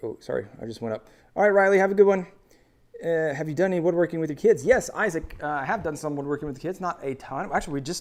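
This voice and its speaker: A man with an American accent talks at a very fast pace. His pitch is fairly high. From US Midwest. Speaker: woodworking YouTuber. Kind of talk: live stream chat.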